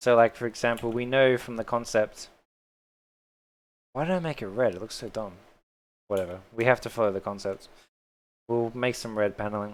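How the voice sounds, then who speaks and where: A man with an Australian accent speaks at a medium pitch and a fairly quick pace, with ordinary pitch variation. He leaves long, frequent pauses, and the recording is very clean with a silent background. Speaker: 3D modelling streamer. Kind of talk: live-stream tutorial. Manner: casual, chatty.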